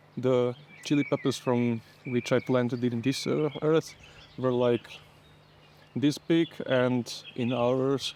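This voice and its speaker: Using a non-native accent, a man speaks very slowly with long, frequent pauses, fairly even intonation, and very even loudness. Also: medium pitch for a man. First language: not English. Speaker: home gardener. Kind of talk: casual gardening vlog narration. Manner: halting.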